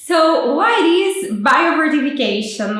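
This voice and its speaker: A woman talks in a strong Brazilian accent. Audible room echo and noticeable background noise surround her voice. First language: Portuguese. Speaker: PhD student. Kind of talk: explainer vlog. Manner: halting, with fillers.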